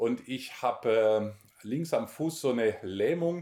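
A man's dark, mellow voice. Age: 40s. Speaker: missionary and Bible teacher. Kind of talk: interview, personal testimony and Bible teaching.

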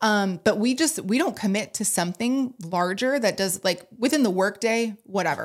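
The speaker has an unremarkable speaking voice with lively intonation. The pace is fairly quick. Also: woman. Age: 30s. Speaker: coach and breathwork teacher. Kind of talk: casual chat.

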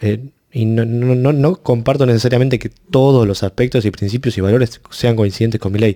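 A man with a medium pitch and a dark, mellow tone speaks at a fairly quick pace with hardly any pauses. His intonation is fairly even, and the sound is dry and close with no echo. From Argentina. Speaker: student political group member. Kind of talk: interview.

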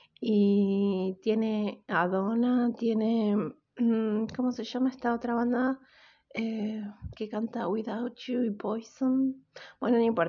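Very slow and somewhat breathy, a woman speaks at a fairly high pitch with fairly even intonation. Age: 30s. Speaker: podcast host. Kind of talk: casual solo podcast monologue.

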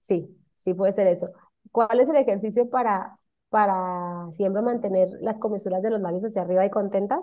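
A woman talks at a moderate pace with a normal speaking voice. Her pitch is medium, with ordinary pitch variation. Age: 30s. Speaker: cosmetologist. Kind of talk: casual interview.

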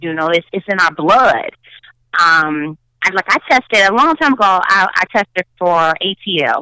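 A woman with a Chicago accent talks at a fairly slow pace and a medium pitch, her lively intonation and bright, sharp tone captured in a dry, close sound with no echo. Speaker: actress and producer. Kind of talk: casual interview chat. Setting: remote call.

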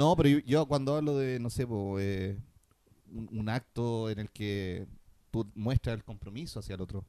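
A man with a Chilean accent, a dark, mellow tone and a fairly slow pace. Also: medium pitch for a man, ordinary pitch variation. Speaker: podcast co-host. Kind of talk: casual chat.

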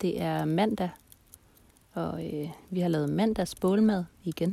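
A woman speaks in a calm tone at a very slow pace, her medium pitch held in fairly even intonation. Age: 30s. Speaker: podcast host. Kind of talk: casual monologue. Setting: outdoors by a campfire at night.

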